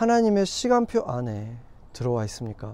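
At a fairly slow pace, a man with a dark, mellow tone speaks with very wide pitch swings. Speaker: pastor. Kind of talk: sermon. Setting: outdoors.

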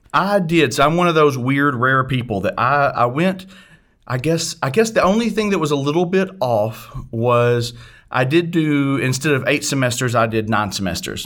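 In an American accent, a man with a fairly high pitch and lively intonation speaks at a moderate pace, a normal speaking voice. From US South, northeast Arkansas near Memphis. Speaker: renal pathologist. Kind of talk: interview.

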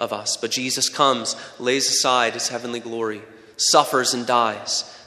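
A man talks at a fairly quick pace with medium pitch. Noticeable background noise runs underneath. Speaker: pastor. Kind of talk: sermon. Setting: church.

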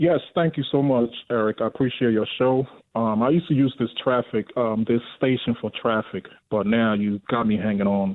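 This man has a normal speaking voice, medium in pitch, with ordinary pitch variation. He keeps a moderate pace and very even loudness. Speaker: caller. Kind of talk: call-in talk radio. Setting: phone call.

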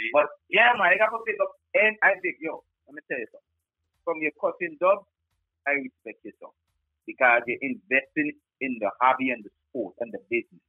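A man's high voice at a moderate pace over background music, with very wide pitch swings, big swings in loudness and long, frequent pauses. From Guyana. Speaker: sound system selector. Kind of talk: casual interview. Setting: phone call.

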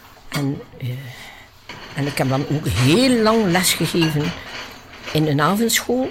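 Over noticeable background noise, a woman speaks at a very deep, low pitch with very wide pitch swings. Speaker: nun, former missionary teacher. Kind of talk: interview.

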